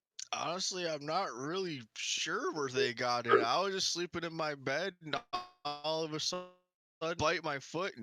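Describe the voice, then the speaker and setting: Put-on character voice from a man, moderate in pace and fairly high in pitch. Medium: actual play. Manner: nervous.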